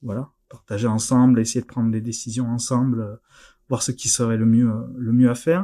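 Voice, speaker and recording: The man has a slight southern French accent and a medium pitch. He speaks at a moderate pace on a very clean recording with a silent background. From southern France, near Narbonne. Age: 30s. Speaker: board game industry employee. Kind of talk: interview.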